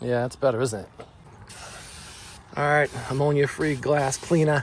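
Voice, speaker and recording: Noticeable background noise accompanies a man speaking at a moderate pace. His pitch is fairly high. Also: fairly even intonation. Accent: strong Boston. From Boston, US. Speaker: DIY tutorial creator, contractor. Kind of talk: tutorial.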